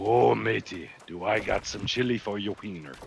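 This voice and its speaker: A man in a put-on character voice speaks at a moderate pace with a fairly low pitch while sound effects play in the background. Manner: playful, comedic.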